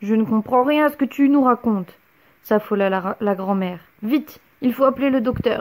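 The speaker is reading aloud in a natural voice, and the pitch varies in an ordinary way.

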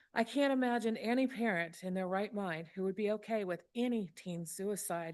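A woman with a Mississippi accent talks at a moderate pace over a quiet background. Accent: Mississippi Southern. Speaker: public commenter. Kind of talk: public comment speech.

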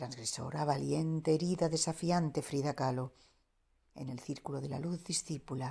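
A woman's very deep, low voice carries vocal fry and a dark, mellow tone, with ordinary pitch variation. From Andalusia, Spain. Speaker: poet. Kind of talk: poetry reading.

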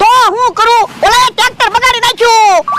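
A cartoonish character voice at an extremely high pitch and fairly slow pace, over light background noise. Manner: blustering, rustic.

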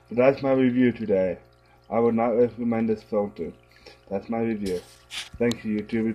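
A man talks with fairly even intonation. There is music in the background. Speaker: aquarium hobbyist reviewing a filter. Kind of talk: angry product review rant. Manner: irritated, swearing, blunt. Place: home room. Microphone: phone near.

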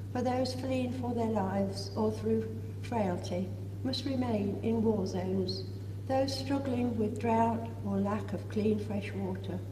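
Over noticeable background noise, a woman with a very deep, low voice speaks fairly slowly in a flat monotone. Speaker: lay intercessor in church congregation. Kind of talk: led prayers. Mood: solemn, measured. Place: church. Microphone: camera far.

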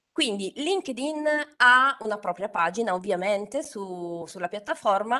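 A woman with a Turin accent, medium in pitch, with a bright, sharp tone, very wide pitch swings, a fairly slow pace, and a quiet background. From Turin, northern Italy; northern Italy. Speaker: LinkedIn trainer and author. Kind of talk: webinar talk. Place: home room. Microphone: studio mic.

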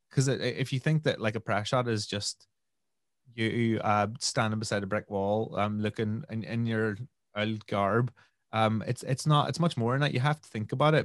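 With a Northern Irish accent, a man at a medium pitch speaks at a moderate pace with ordinary pitch variation and big swings in loudness, in a dry sound with no echo against a quiet background. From Northern Ireland, Omagh. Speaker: DJ and musician. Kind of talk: interview answer. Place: home room. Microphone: studio mic.

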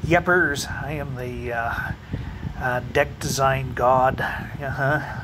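This man's fairly even intonation unfolds very slowly against noticeable background noise. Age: 50s. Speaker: vlogger. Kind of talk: casual monologue; casual vlog chat. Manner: halting. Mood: wry, joking about fears. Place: home room. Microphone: phone near.

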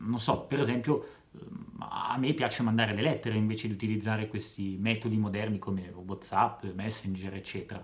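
Moderately paced, a man's fairly low voice keeps a fairly even intonation. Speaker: comedian. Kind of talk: stand-up comedy monologue. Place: home room. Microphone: phone near.

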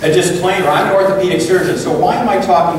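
A man speaks with strong room echo over light background noise. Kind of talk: lecture. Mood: warm, conversational. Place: meeting room.

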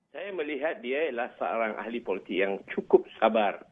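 A man speaking at a moderate pace. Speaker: professor. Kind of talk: interview commentary. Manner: halting.

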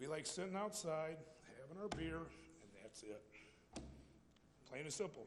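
A man with an American accent mumbles at a moderate pace in a fairly high pitch, with very wide pitch swings, long and frequent pauses, and audible room echo. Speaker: public commenter. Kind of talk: public comment at council meeting. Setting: city council chamber. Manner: mumbling.

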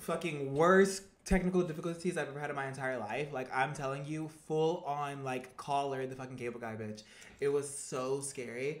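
The speaker keeps a moderate pace. Light background noise is audible. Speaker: livestreamer. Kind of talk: casual livestream chat. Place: home room. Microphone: webcam.

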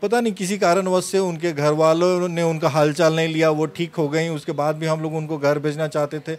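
A man speaks in an unremarkable speaking voice, fairly high in pitch with fairly even intonation. He holds a moderate pace with hardly any pauses. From Ranchi, Jharkhand, India; Jharkhand, India. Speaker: surgeon; interviewee. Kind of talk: interview. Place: office. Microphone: handheld.

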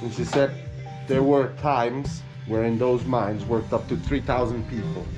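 A man speaks at a moderate pace with ordinary pitch variation, clear music playing behind him. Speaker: local guide translating. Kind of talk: interview translation. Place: street. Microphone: phone near.

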